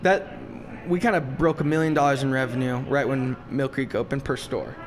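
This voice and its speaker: At a fairly quick pace, a man with a fairly high pitch and ordinary pitch variation talks over noticeable background noise. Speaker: podcast host and drink shop owner. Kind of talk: casual interview chat. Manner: loud; animated.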